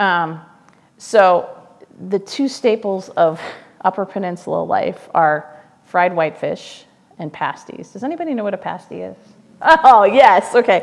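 A woman with an American accent talks at a fairly slow pace with lively intonation, big swings in loudness, and long, frequent pauses. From US Midwest. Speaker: foundation communications officer; guest. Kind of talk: public talk. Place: stage. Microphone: lapel.

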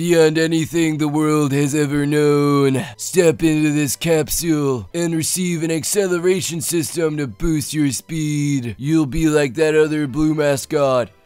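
Music plays in the background as a man puts on a character voice, fairly high in pitch and fairly slow in pace. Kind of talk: comic overacting. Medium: game stream. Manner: macho, growling.

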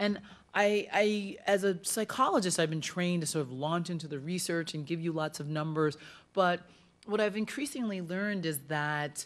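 This woman has a fairly low pitch with ordinary pitch variation. She speaks at a moderate pace. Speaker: speaker. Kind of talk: lecture. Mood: warm, personal storytelling. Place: hall. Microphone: podium.

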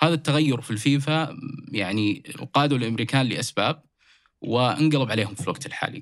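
A man speaks in a plain, everyday voice at medium pitch, with ordinary pitch variation and a moderate pace. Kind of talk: casual sports discussion.

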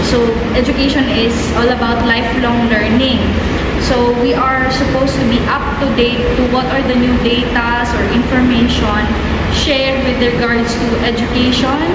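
Loud background noise surrounds a woman's voice. The room echo is audible. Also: moderate pace. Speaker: teacher. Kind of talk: interview answer. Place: classroom. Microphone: phone near.

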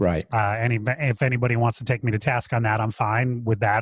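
A man speaks with a somewhat breathy voice. The sound is dry with no echo, over a quiet background. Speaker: podcast co-host. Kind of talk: podcast discussion. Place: home room. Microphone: studio mic.

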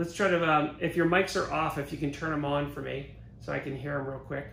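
Light background noise and audible room echo surround a man speaking at a fairly quick pace. His pitch is fairly high, and his intonation is monotone and flat. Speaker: virtual event emcee. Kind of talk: guiding an online group exercise. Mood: calm, encouraging. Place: studio.

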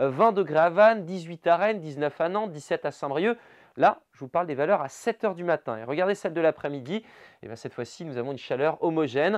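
The tone is upbeat and enthusiastic. The pitch swings very widely. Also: man, quiet background. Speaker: weather presenter. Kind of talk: regional TV-style weather bulletin, brisk forecast narration over maps. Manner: upbeat, enthusiastic and conversational, with casual 'hein' asides; fluent brisk delivery listing towns and temperatures in quick succession. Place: studio. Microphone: lapel.

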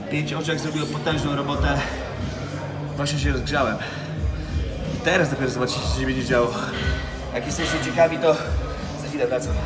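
Words come at a very fast pace over loud music in the background. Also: man. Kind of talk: casual workout vlog tutorial. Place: gym.

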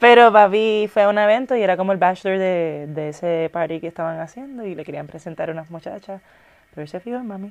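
A woman's very fast speech with ordinary pitch variation and big swings in loudness. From Puerto Rico. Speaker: actress and influencer; actress, influencer. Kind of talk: casual interview chat. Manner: animated. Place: studio. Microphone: lapel.

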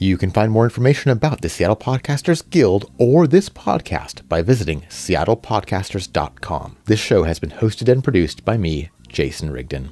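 Vocal fry runs through a man's fairly low, dark, mellow voice, with very wide pitch swings. He keeps a moderate pace with hardly any pauses. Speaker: podcast host. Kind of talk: casual interview.

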